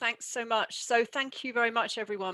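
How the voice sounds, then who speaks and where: Over music in the background, a woman speaks at a fairly quick pace, the sound dry and close with no echo. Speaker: university senior leader. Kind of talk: conference welcome speech.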